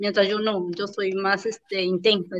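This woman talks at a fairly slow pace with a medium pitch. Her intonation is monotone and flat. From Peru, Amazon jungle region. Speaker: lawyer and real estate agent. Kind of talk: interview.

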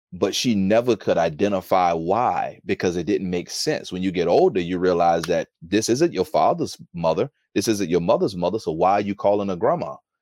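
Fairly low in pitch, a man with an American accent speaks at a moderate pace with hardly any pauses and ordinary pitch variation. His is a plain, everyday voice. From United States. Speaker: former prisoner turned author. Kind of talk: interview testimony. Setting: video call.

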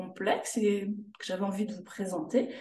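With audible room echo, a woman talks in a fairly high voice with a Swiss accent. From Switzerland, canton of Jura. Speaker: sophrologist. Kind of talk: interview.

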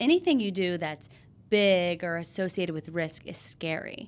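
In a very clean recording with a silent background, a woman with an American accent speaks in a plain, everyday voice at a medium pitch, her intonation lively. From US South, Tennessee. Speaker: former TV news anchor. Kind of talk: casual chat.

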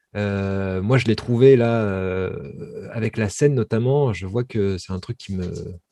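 Against a quiet background, a man speaks at medium pitch with a dark, mellow tone and ordinary pitch variation. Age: 30s. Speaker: filmmaker and actor. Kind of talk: interview conversation.

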